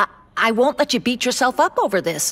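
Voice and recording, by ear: A woman's put-on character voice, fairly high-pitched and fairly bright in tone, with big pitch swings at a fairly quick pace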